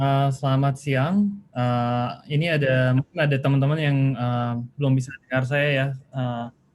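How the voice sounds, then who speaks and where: Here a man talks at a moderate pace and medium pitch. His intonation stays fairly even. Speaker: webinar speaker, data school director. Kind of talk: webinar presentation. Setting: video call. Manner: halting, many fillers; mixes Indonesian and English.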